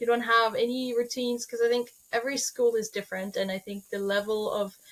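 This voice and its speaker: Very fast speech from a woman with a Norwegian accent and fairly even intonation. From Norway. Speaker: holistic veterinarian. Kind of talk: podcast interview.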